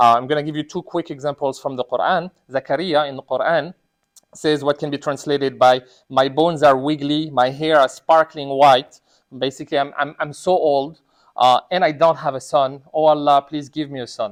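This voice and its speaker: A man with a non-native accent speaks in a fairly high pitch, his intonation flat and monotone. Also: moderate pace, dry, close sound with no echo. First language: not Arabic. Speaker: imam giving a sermon. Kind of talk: sermon. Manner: conversational, many fillers.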